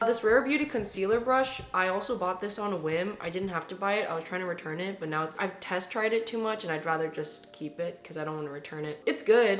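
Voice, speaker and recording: A woman talking at a fairly quick pace, with noticeable background noise and audible room echo. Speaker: beauty vlogger. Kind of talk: casual product review. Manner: chatty.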